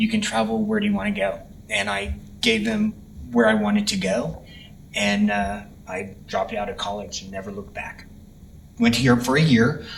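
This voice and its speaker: A man with an American accent at a moderate pace, long, frequent pauses, and audible room echo. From Texas, Dallas. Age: 60s. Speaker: retired florist. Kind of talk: personal life story interview. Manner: halting, many fillers.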